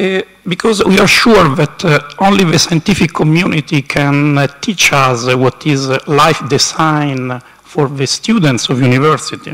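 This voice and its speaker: In an Italian accent, a man with a fairly high pitch speaks at a moderate pace, with ordinary pitch variation and very even loudness, against noticeable background noise. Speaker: university council representative. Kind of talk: conference speech. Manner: halting.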